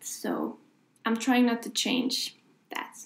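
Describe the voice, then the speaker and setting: A woman talks with a Swedish accent. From Sweden. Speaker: author. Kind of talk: tutorial. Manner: casual, with fillers.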